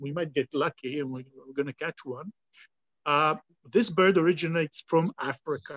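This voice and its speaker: A man with an Israeli accent speaks at a fairly quick pace in a fairly high pitch, with ordinary pitch variation, big swings in loudness, and long, frequent pauses, all in a dry, close sound with no echo. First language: Hebrew. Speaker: bird ringer and guide. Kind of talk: live outdoor demonstration. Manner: halting.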